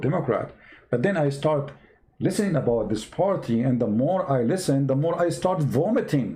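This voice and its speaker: At a moderate pace, a man with an Arabic accent speaks at a fairly high pitch with lively intonation, very even loudness, a dark, mellow tone, and a somewhat breathy quality. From Middle East. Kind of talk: online talk show rant. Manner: animated.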